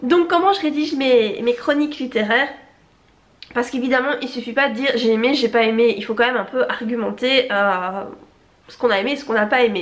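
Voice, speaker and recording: A woman's high pitch with ordinary variation and big swings in loudness. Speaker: novelist and YouTuber. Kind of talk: casual vlog chat. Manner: hesitant, many fillers.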